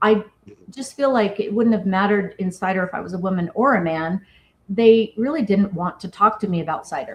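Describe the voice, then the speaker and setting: A somewhat breathy woman's voice with an American accent, medium in pitch, at a moderate pace with ordinary pitch variation. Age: 50s. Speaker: cidermaker and business founder. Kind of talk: interview.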